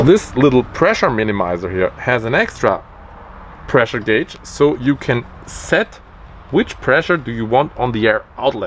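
Over light background noise, a man with a non-native accent speaks with lively intonation. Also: moderate pace. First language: German. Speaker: DIY maker. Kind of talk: unscripted explainer to camera. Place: garden.

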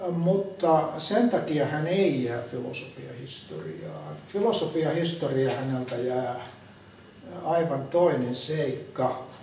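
The speech is very slow, with ordinary pitch variation. Light background noise and audible room echo are present. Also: man, fairly high pitch for a man. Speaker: philosopher. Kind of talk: group discussion. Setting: museum. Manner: halting. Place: hall.

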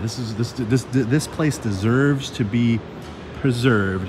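With noticeable background noise behind him, a man talks using ordinary pitch variation. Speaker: vlogger exploring a mall. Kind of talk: casual vlog chat. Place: hall. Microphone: phone near.

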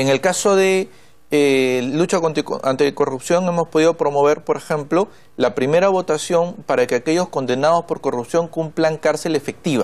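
A man with a fairly high pitch speaks at a moderate pace, his loudness very even and his pitch varying in an ordinary way. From northern Peru. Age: 30s. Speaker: congressman; politician guest. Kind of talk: TV interview. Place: studio. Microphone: lapel.

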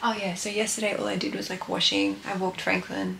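In a room with audible echo, a woman talks at a fairly quick pace in a medium-pitched, fairly bright voice with vocal fry and ordinary pitch variation.

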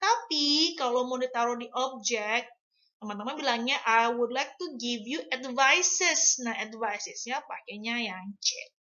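A high-pitched woman's voice with big swings in loudness. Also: quiet background. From Indonesia. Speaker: English teacher. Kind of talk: tutorial. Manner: code-switching Indonesian and English. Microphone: webcam.

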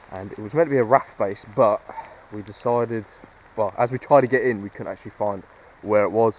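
A man with a fairly low-pitched voice talks with fairly even intonation, the sound dry with no echo and light background noise behind him. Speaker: urban explorer vlogger. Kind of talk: casual vlog chat. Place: open country. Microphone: phone near.

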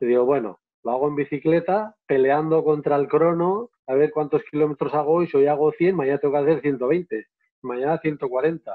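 With a quiet background, the voice keeps a moderate pace and ordinary pitch variation. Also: man, fairly high pitch for a man. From Navarre, Spain. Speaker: photographer and filmmaker, travel guide. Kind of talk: live online interview. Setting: live video stream. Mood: warm, enthusiastic storytelling. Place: home room. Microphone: earbuds.

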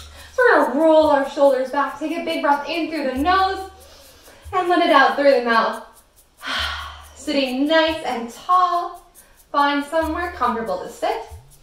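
Audible room echo surrounds a woman's voice. She has a high pitch and a fairly slow pace. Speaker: breathing exercise guide for kids. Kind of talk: guided exercise instruction. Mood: calm, gentle, slow. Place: home room. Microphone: camera far.

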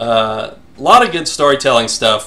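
The pitch varies in an ordinary way. The speaker is a man. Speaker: former lead programmer, game developer. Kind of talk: casual podcast talk over gameplay. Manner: loud.

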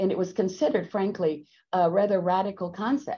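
With an American accent, a woman speaks at a medium pitch in a dark, mellow tone against a quiet background. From Texas. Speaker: company executive. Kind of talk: webinar presentation. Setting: video call. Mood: warm, enthusiastic. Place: office. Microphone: video call.

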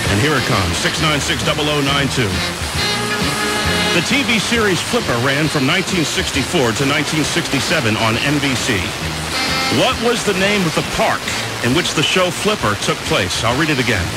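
Loud music plays behind a man speaking at a fairly quick pace with long, frequent pauses. The sound is dry, with no echo. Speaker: radio DJ. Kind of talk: oldies radio show host patter. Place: studio.

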